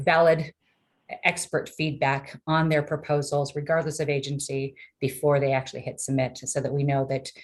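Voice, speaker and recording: With a very deep, low pitch, a woman talks in monotone, flat intonation. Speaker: technology transfer program staff. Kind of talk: webinar presentation. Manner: fast.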